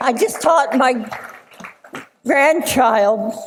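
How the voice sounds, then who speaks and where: A woman speaks very slowly in a high pitch with lively intonation. Room echo is audible. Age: 90s. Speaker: swimming instructor, hall of fame inductee. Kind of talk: acceptance speech. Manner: halting.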